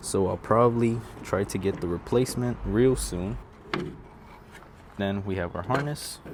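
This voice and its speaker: A man talks quietly in a relaxed tone at a fairly slow pace. His pitch varies in an ordinary way, with noticeable background noise behind him. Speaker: DIY car repair vlogger. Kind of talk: tutorial. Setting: outdoors. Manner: quiet, relaxed.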